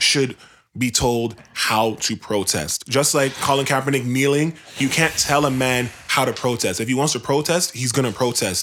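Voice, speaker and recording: A man speaks in an animated tone at a moderate pace. His pitch sits in the medium range and varies in an ordinary way. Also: very even loudness. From Canada. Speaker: music podcast co-host. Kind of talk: casual chat.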